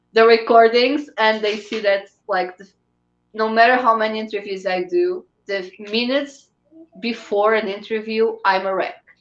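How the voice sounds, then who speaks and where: Spoken at a moderate pace in a Portuguese accent, the voice has ordinary pitch variation and big swings in loudness. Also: woman, fairly high pitch for a woman. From Portugal. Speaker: fan site runner and interviewer. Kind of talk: interview conversation. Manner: halting.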